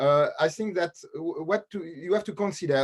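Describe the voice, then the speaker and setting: A man speaks at a moderate pace. He has a French accent. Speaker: lawyer and teacher. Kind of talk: webinar panel discussion. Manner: halting.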